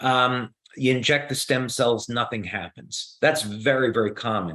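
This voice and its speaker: A man with a New Jersey accent speaks at a fairly slow pace, his voice bright and sharp in tone. His pitch is medium, with ordinary variation. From US Northeast, New Jersey. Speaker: company founder and scientist answering questions. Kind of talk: Q&A explanation. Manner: many filler words and hesitations.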